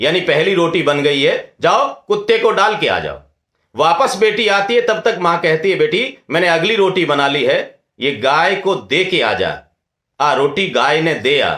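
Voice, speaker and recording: In a Rajasthani accent, a man speaks with a high pitch, a bright, sharp tone and lively intonation. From Rajasthan, India. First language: Rajasthani (speaking Hindi). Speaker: scholar, lecturer. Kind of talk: lecture. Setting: webinar.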